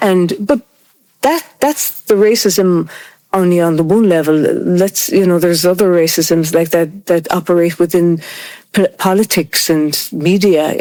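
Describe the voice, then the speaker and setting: A woman with an Irish accent speaks at a moderate pace, her loudness very even. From Ireland. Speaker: interviewee on race in Ireland. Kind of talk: group conversation.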